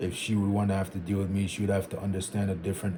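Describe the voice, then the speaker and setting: There is noticeable background noise. Through it, a man speaks with a fairly low pitch. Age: 20s. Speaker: vlogger. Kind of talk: casual monologue. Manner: conversational.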